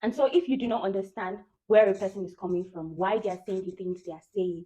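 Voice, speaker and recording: With a Nigerian accent and a dark, mellow tone, a woman speaks at a very fast pace, her loudness swinging widely. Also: medium pitch for a woman, ordinary pitch variation. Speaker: vlogger. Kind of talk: casual monologue.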